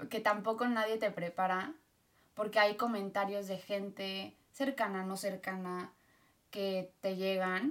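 A woman talks at a very slow pace. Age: 30s. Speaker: podcast guest, host's sister. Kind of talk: casual chat.

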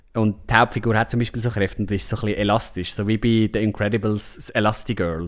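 A very fast, flat, monotone delivery with hardly any pauses. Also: man, fairly low pitch for a man. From Switzerland, Lake Zurich area. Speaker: film podcast host. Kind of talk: casual chat.

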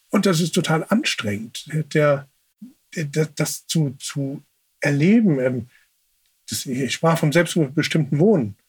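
A man with a fairly high pitch and a somewhat breathy voice talks at a very slow pace, using lively intonation and long, frequent pauses. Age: 40s. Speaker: sibling advocate. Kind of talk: interview. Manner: halting.

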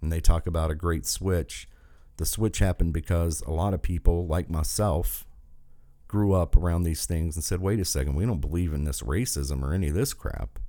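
A man with a very deep, low pitch and a dark, mellow tone at a moderate pace, on a very clean recording with a silent background. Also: ordinary pitch variation. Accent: Appalachian. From southern West Virginia. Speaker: political podcast host. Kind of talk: political rant monologue. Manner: animated.

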